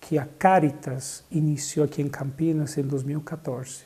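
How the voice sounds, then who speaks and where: With a Bolivian accent, a man speaks at a fairly high pitch in a somewhat breathy voice, with a dark, mellow tone and monotone, flat intonation. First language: Spanish (speaking Portuguese). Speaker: social services coordinator. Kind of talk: interview testimony. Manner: hesitant, with fillers.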